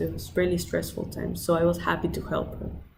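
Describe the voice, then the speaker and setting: A woman talking at a fairly quick pace, with audible room echo. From Peru, Lima. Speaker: student. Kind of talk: application video monologue. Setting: outdoors by the ocean.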